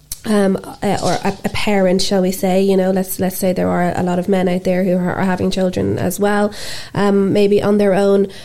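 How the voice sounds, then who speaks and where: A woman with an Irish accent, monotone and flat, at a moderate pace and very even loudness, amid noticeable background noise. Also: medium pitch for a woman. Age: 40s. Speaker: podcast host and life coach. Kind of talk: casual interview chat. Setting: studio.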